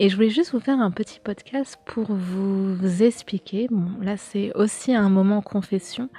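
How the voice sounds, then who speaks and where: A woman speaks with a medium pitch and ordinary pitch variation. Her pace is fairly slow, with hardly any pauses. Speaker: YouTuber and podcaster on occultism and pop culture. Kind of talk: casual solo podcast talk. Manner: hesitant, many fillers.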